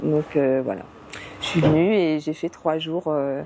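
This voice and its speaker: Over noticeable background noise, a woman with a very deep, low pitch talks at a very slow pace with ordinary pitch variation. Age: 60s. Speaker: beekeeper. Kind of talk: interview. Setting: greenhouse. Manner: hesitant, many fillers.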